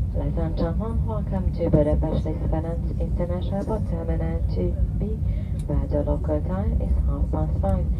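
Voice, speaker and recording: A woman speaks at a moderate pace. Loud background noise runs underneath. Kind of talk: in-flight announcement. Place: plane.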